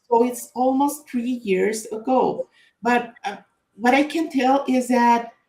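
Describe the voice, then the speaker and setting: A woman with a Spanish accent speaks very slowly. Her voice is high, with ordinary pitch variation. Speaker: author and data consultant. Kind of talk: book launch presentation. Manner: halting, many fillers and repetitions.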